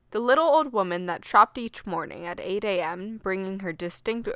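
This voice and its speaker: A woman with an ordinary speaking voice talks at a medium pitch and a fairly slow pace. Her intonation is lively, and the recording is very clean with a silent background. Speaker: audiobook narrator. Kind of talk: horror fiction audiobook narration. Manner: steady, measured storytelling pace with rising tension.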